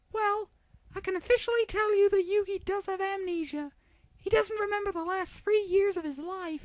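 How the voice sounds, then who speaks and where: A squeaky, put-on character voice at an extremely high pitch and a moderate pace. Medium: read story. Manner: measured, reassuring.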